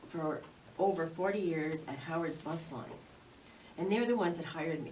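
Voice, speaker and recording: Speaking with a Canadian accent, a woman has a fairly low pitch and ordinary pitch variation. She keeps a moderate pace, and room echo is audible. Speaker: township councillor. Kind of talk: prepared statement at council meeting. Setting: council meeting. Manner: loud.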